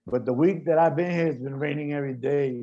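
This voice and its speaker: A man speaks in a New York accent with a fairly high pitch. His tone is dark and mellow, and his intonation fairly even. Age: 50s. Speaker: graffiti artist. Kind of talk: panel discussion.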